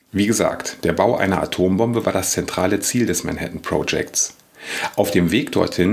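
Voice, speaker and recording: With noticeable background noise, the voice moves at a moderate pace with fairly even intonation. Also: man. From Lower Rhine, western Germany. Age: 40s. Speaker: historian and podcast host. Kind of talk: scripted narration.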